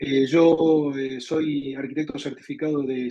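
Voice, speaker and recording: A man with an Argentine accent speaks at a fairly high pitch, his dark, mellow tone held to a flat monotone. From Argentina. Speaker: software architect and community leader. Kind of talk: webinar presentation. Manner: repetitive, stumbling on words.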